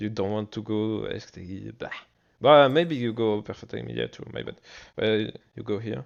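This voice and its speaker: A man with a French accent at a moderate pace. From France. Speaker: gaming streamer. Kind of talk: tutorial. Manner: halting.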